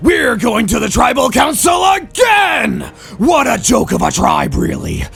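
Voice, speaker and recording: A man shouting in a put-on character voice at an extremely high pitch, at a moderate pace, over clear music in the background. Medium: role play. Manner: loud, fiery.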